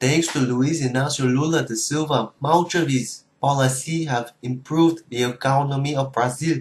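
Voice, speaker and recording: A man does a robotic put-on character voice at medium pitch, moving at a moderate pace with hardly any pauses. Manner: flat, mechanical delivery.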